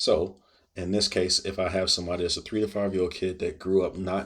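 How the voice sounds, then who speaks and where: A man's very deep, low pitch, monotone and flat, delivered at a very fast pace. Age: 40s. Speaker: video blogger. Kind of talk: personal monologue to camera. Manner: casual.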